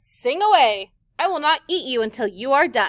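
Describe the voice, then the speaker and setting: A woman puts on a character voice, pitched high and moving at a moderate pace. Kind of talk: classroom read-aloud. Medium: read story. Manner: smug.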